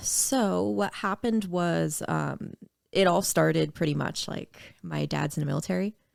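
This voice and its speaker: A woman speaks at a moderate pace in a Maritime Canadian accent. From Nova Scotia, Canada (Dartmouth). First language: French. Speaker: singer-songwriter and rapper. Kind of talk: casual podcast interview.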